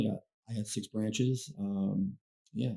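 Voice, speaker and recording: A man's fairly low, dark and mellow voice with a Chicago-area accent, at a moderate pace. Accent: Chicago-area American English. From Chicago area, Illinois (Blue Island). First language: Spanish. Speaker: branch manager. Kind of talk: casual chat. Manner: halting.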